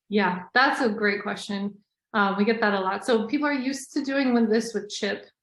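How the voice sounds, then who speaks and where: A woman talks at a fairly quick pace with a fairly high pitch. Her voice is somewhat breathy, with fairly even intonation. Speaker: scientist presenting a webinar. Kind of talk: webinar presentation. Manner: fast.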